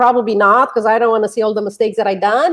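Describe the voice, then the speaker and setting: A woman speaks with a slight Romanian accent, her fairly high voice keeping a fairly even intonation. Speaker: author and relationship coach. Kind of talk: interview. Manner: halting.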